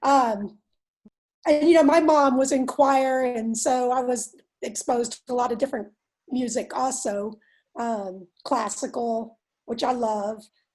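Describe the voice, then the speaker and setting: On a very clean recording with a silent background, a woman with a Texan accent speaks at a high pitch and fairly slow pace with ordinary pitch variation. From Texas. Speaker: workshop participant. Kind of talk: casual discussion.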